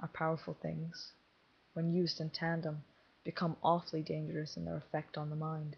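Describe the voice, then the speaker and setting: This somewhat breathy voice moves at a moderate pace. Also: woman. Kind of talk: essay reading. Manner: measured, formal address.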